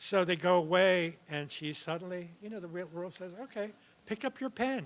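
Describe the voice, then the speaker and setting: A man's high-pitched voice with lively intonation at a moderate pace, music in the background. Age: 70s. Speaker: writer. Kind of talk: onstage conversation. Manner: halting.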